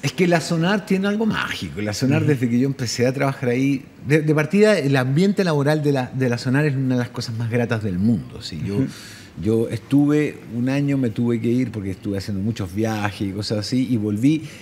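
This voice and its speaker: Over noticeable background noise, a man talks at a fairly quick pace with lively intonation and medium pitch. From Chile. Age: 50s. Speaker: journalist, correspondent and radio host. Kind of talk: interview answer.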